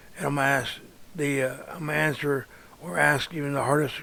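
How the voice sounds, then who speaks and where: Noticeable background noise runs under the recording. A man speaks at a moderate pace in a fairly high voice. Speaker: artist and toy reviewer. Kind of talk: casual vlog introduction. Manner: halting, repeats words.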